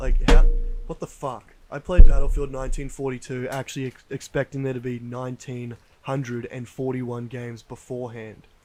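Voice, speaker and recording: With music in the background, a man in an Australian accent speaks at a moderate pace and medium pitch with monotone, flat intonation. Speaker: podcast co-host. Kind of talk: casual chat. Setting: outdoors on a deck at night.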